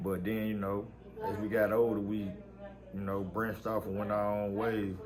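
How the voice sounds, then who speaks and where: A man with an American accent and a fairly low voice speaks at a moderate pace with fairly even intonation and audible room echo. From West Tennessee (Jackson). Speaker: rapper. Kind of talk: interview. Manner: casual, filler-heavy.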